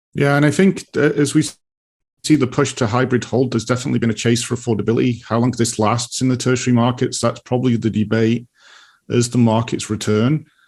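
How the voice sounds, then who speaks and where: Against a quiet background, a man talks very fast with a British accent and medium pitch. His loudness stays very even and his intonation fairly even. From UK. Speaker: real estate market analyst. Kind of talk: casual chat.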